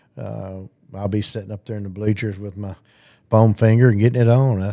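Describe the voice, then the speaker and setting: In a very clean recording with a silent background, a man with a Southern US accent talks fairly quickly in a fairly low, dark, mellow voice with monotone, flat intonation. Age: 60s. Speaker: retiring high school football coach. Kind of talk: casual interview.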